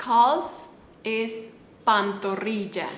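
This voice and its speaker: With a Mexican accent, a woman speaks very slowly at a fairly high pitch, with audible room echo and noticeable background noise. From Mexico. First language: Spanish. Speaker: Spanish teacher. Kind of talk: language tutorial. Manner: repetitive, slow enunciation of words.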